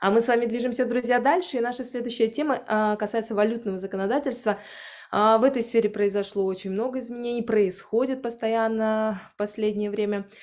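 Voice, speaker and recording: This woman talks at a fairly quick pace, her fairly high voice holding a fairly even intonation. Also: quiet background. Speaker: webinar moderator. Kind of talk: event moderation. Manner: hesitant filler sounds.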